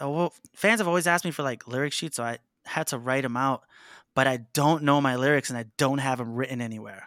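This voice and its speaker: At a fairly quick pace, the speaker uses a bright, sharp tone and ordinary pitch variation in a New York accent. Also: man. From New York City (Harlem). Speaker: band vocalist. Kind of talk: casual chat.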